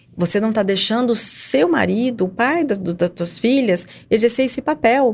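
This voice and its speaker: A woman's fairly high voice carries lively intonation through noticeable background noise. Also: moderate pace. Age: 40s. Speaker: volunteer with a family support group for addiction. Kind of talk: radio interview.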